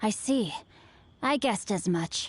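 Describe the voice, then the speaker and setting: Using a put-on character voice, a woman sounds raspy, with a fairly high pitch and a calm tone. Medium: video game. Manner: calm, measured, formal.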